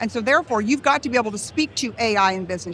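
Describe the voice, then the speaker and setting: Speaking at a very fast pace, a woman uses an animated tone with ordinary pitch variation. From California. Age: 60s. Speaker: real estate leader. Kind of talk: interview.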